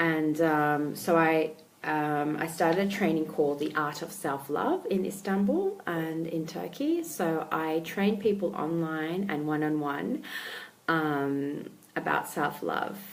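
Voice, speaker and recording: Against noticeable background noise and audible room echo, a woman speaks with an Australian accent. Her pitch is very deep and low, her pace fairly slow, and her pitch variation ordinary. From Australia, Melbourne. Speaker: life coach. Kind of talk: casual talk to camera. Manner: hesitant, many fillers.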